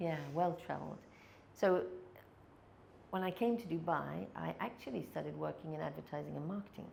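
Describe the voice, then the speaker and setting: A woman with an English accent talks at a fairly quick pace, with long, frequent pauses and audible room echo. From England. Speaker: sales and people skills trainer. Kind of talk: podcast interview.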